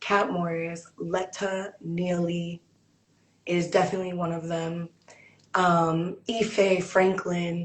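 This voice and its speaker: A woman's somewhat breathy, fairly low voice in a monotone, flat intonation. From South Carolina. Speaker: poet and artist. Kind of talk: casual interview chat. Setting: call. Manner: fast.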